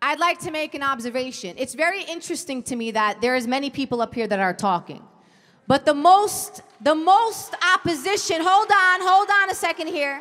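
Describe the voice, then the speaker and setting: The speaker has an American accent and very wide pitch swings at a moderate pace. Noticeable background noise is present. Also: woman, high pitch for a woman. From US. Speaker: political activist. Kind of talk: panel discussion. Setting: stage with audience. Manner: forceful.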